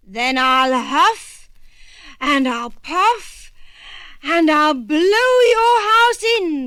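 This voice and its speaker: A put-on character voice, high in pitch, at a very slow pace, with very wide pitch swings and long, frequent pauses. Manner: roaring, menacing.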